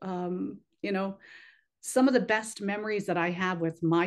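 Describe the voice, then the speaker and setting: An unremarkable speaking voice is heard here. The intonation stays fairly even. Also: woman. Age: 60s. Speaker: pageant organization president. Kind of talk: interview.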